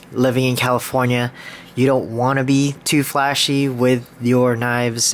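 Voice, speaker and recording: A man at a medium pitch is heard over noticeable background noise. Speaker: knife collector video maker. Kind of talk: casual collection show-and-tell. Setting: at home, sitting on the floor. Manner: halting, stumbles over words.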